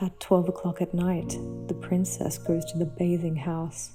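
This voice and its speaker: Over music in the background, a woman speaks in a calm tone at a fairly slow pace. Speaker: storyteller. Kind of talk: sleep story. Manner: calm, soft-spoken.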